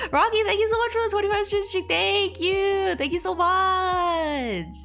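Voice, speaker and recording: Music plays in the background while a woman with a non-native accent speaks at a moderate pace. Her pitch is extremely high, with ordinary variation and very even loudness. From Chinese heritage. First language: not English. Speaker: streamer and artist. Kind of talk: casual live stream chat. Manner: halting, many repetitions.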